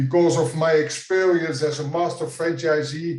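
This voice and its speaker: A man with a Dutch accent speaks at a fairly high pitch amid audible room echo. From Netherlands. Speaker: franchise consultant. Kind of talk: conference presentation. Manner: halting.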